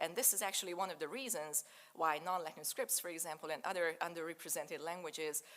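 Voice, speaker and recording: A woman with a Hungarian accent speaks at a fairly quick pace. Her voice is fairly low in pitch, with a bright, sharp tone. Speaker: digital humanities researcher. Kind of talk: lecture.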